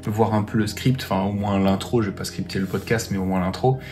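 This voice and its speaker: A man with ordinary pitch variation over music in the background. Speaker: YouTuber. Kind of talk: vlog.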